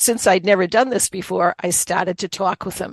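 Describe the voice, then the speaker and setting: The sound is dry and close, with no echo. A woman with a Boston accent speaks at medium pitch. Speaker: author, occupational therapist and Reiki master. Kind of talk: interview testimony.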